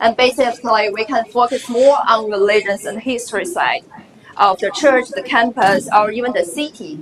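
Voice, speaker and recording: Noticeable background noise surrounds a woman with a Chinese accent who speaks at a moderate pace in a fairly high pitch. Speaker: graduate student presenter. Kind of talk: conference presentation. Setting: conference session.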